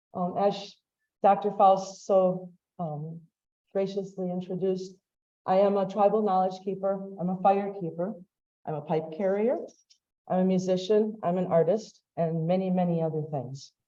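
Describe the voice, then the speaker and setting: With long, frequent pauses, a woman with an American accent and a dark, mellow tone speaks at a moderate pace and medium pitch, with fairly even intonation and audible room echo. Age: 50s. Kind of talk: lecture-style talk to an audience.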